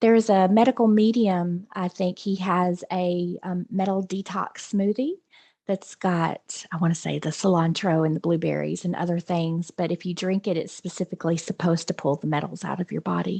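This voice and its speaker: A woman with a fairly low pitch and a dark, mellow tone speaks at a moderate pace with hardly any pauses and fairly even intonation. The sound is dry and close with no echo, over a quiet background. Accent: Southern. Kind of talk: casual chat.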